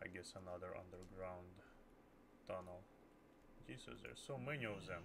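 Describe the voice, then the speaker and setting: With a Russian accent and vocal fry, this speaker talks at a moderate pace with lively intonation and long, frequent pauses, and the room echo is audible. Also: man, very deep, low pitch for a man. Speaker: game streamer. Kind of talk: live gameplay commentary. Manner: halting.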